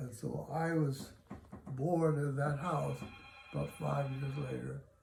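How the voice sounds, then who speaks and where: Music plays in the background as a man with an American accent speaks at a fairly slow pace. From Los Angeles, California. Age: 90s. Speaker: elderly interviewee. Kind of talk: oral history interview. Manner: halting, many fillers.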